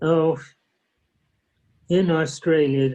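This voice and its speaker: A man with an American accent speaks at a very slow pace in a dark, mellow tone, his intonation monotone and flat. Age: 80s+. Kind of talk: casual reminiscing with family. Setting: video call.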